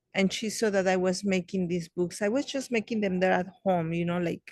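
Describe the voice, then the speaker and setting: A woman of medium pitch speaks with a Spanish accent and fairly even intonation, in a dry, close sound with no echo. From Mexico. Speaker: children's book author. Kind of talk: interview. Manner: halting, many fillers.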